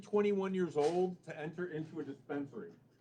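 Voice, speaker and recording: Speaking in an American accent, the man lets his pitch vary in an ordinary way. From Illinois, Chicago area. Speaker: cannabis dispensary representative. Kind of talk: public meeting presentation. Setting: public meeting with audience. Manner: loud.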